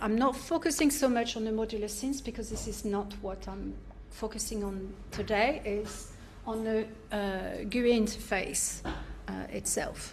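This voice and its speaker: A woman with a French accent, fairly high in pitch, with big swings in loudness and audible room echo. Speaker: academic researcher and artist. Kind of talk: academic seminar talk. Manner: halting, many fillers.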